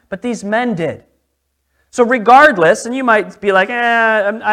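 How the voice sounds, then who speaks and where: A man with an American accent projects a raised voice at a high pitch, his tone bright and sharp. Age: 30s. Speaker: pastor. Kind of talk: sermon. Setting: church.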